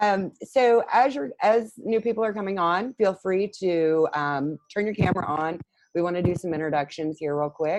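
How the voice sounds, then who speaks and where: A woman talks at a moderate pace in a fairly low pitch with lively intonation. She has an unremarkable speaking voice. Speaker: co-working space host. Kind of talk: online workshop hosting. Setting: video call.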